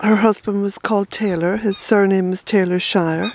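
The speech moves at a fairly slow pace. The sound is dry with no echo, though noticeable background noise comes through. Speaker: family history vlogger. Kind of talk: casual vlog chat. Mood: reflective, gentle. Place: forest. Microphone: phone near.

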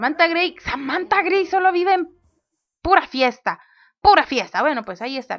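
Shouting woman at an extremely high pitch, animated tone and lively intonation, big swings in loudness, moderate pace. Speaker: gaming youtuber. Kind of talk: let's play commentary. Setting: home recording at desk. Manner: loud, near shouting while recording.

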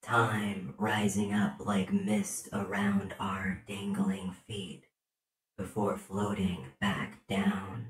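Using a cartoonish character voice, a man speaks at a very slow pace and a fairly low pitch. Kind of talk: poetry reading. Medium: puppet. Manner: tender, dreamy.

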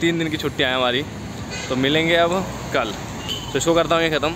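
The recording is dry with no echo and has noticeable background noise, while the pitch moves in an ordinary way. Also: man. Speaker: vlogger. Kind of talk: casual vlog chat. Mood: cheerful, relaxed. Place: street. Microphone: phone near.

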